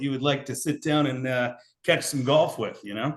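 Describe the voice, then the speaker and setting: At a fairly quick pace, a man speaks in a normal speaking voice with fairly even intonation. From Portland, Oregon. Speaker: podcast host and baseball coach. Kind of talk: casual interview.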